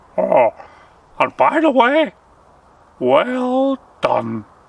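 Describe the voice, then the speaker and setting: A man puts on a cackling character voice. His pitch is extremely high. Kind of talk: bedtime story. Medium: read story. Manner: jovial, joking.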